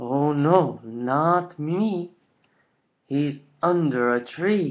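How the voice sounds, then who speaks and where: A man speaks in a put-on character voice with a fairly high pitch. His delivery is very slow. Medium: read story.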